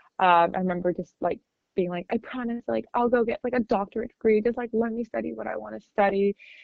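A woman's plain, everyday voice in a General American accent, medium pitch, lively intonation and a fairly quick pace. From California-born, raised in Shanghai, China. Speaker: business school graduate. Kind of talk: casual interview. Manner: casual, frequent fillers like 'like'.

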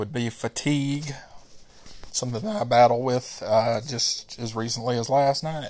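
At a moderate pace, a man talks at medium pitch in an ordinary speaking voice. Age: 40s. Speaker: podcast host. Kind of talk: solo monologue.

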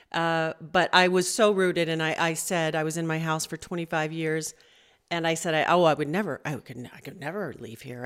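At a moderate pace, a woman with an American accent speaks in a fairly low pitch, in a very clean recording with a silent background. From Southern California. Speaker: session singer and voice teacher. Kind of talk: interview.

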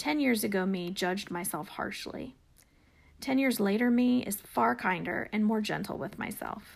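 A plain, everyday voice from a woman, medium-pitched with lively intonation, at a moderate pace in a very clean recording with a silent background. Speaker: podcast host. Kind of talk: casual interview.

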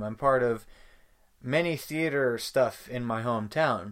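This clip features a man. The recording is very clean, with a silent background. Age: 20s. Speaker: gaming youtuber and podcaster. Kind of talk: casual solo monologue. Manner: hesitant with many fillers.

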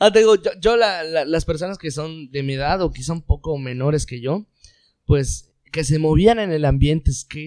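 A man's tone is dark and mellow. The recording is very clean, and the background is silent. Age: 20s. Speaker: engineer. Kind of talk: casual chat.

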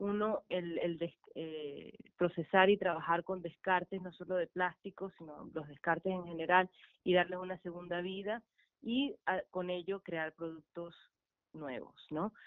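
Using a normal speaking voice, a woman talks fairly slowly at a fairly low pitch, with fairly even intonation and big swings in loudness. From Venezuela. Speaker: artist and recycling project founder. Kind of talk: radio interview.

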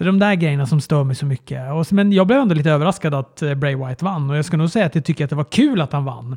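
A man's dark, mellow, somewhat breathy voice, recorded dry and close with no echo. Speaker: wrestling podcast co-host. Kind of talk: casual chat.

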